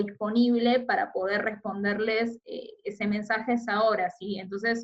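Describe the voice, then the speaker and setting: A woman's unremarkable speaking voice, fairly high in pitch. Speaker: teacher. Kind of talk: recorded lecture.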